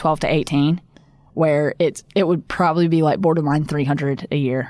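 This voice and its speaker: The speaker has a Southern US accent and fairly even intonation. The background is quiet. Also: woman. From US South, upstate South Carolina. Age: 20s. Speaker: professional golfer. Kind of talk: casual interview.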